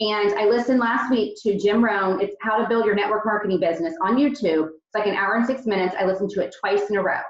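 Amid audible room echo, a woman talks at a very fast pace with hardly any pauses and ordinary pitch variation. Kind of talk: team meeting talk. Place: home room. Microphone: video call.

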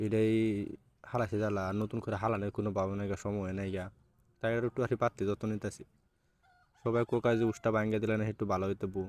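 A man speaks with a fairly low pitch and monotone, flat intonation. The sound is dry and close, with no echo. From Bangladesh, Mymensingh region. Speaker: vlogger. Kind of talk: casual vlog narration.

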